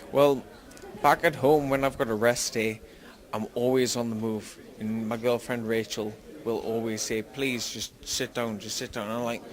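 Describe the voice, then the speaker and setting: Speaking with a strong Geordie accent, a man of medium pitch keeps a moderate pace. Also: fairly even intonation. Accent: Geordie, thick. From northern England, Newcastle. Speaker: MMA fighter. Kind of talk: interview.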